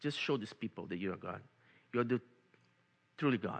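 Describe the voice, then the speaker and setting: With a Brazilian accent, a man speaks in a bright, sharp tone with ordinary pitch variation. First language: Portuguese. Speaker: lay preacher. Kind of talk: sermon. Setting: church. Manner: halting, repeats words.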